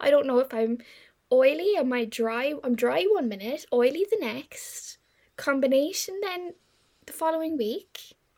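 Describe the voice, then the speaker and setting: With an Irish accent, a woman speaks at a fairly slow pace, her high pitch moving in very wide swings. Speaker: podcast host, marketing agency. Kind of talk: casual chat.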